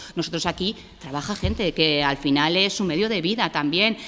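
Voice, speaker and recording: This woman's pitch sits fairly low. She uses ordinary pitch variation. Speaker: cultural program staff presenter. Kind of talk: public presentation. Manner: fast.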